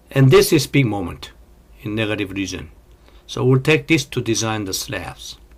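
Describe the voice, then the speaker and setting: Somewhat breathy, a man's medium-pitched voice carries lively intonation. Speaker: engineering lecturer. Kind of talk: lecture. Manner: slow.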